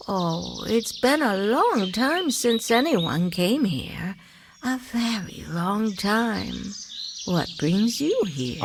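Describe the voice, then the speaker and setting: A female-sounding, put-on character voice at a medium pitch for a woman talks at a very slow pace against clear background noise. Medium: machinima. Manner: rambling, repeats itself.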